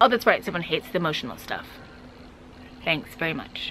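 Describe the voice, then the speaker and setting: A woman speaks with lively intonation. Noticeable background noise runs underneath. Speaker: travel vlogger. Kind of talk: casual chat reading viewer comments. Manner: fast.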